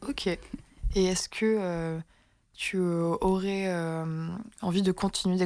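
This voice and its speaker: A woman talks in a monotone with flat intonation. The recording is very clean, and the background is silent. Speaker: radio interviewer. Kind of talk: radio interview host.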